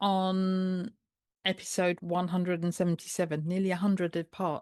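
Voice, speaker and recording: A woman talks with a British accent. The sound is dry and close with no echo, over a quiet background. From United Kingdom. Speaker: podcast host and health coach. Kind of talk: podcast intro.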